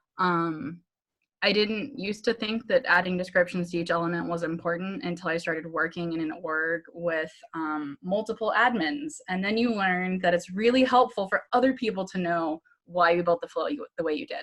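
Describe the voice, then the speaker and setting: With lively intonation, a woman speaks at medium pitch. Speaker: Salesforce admin and trainer. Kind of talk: online training presentation. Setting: video call. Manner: fast; casual, with filler ums.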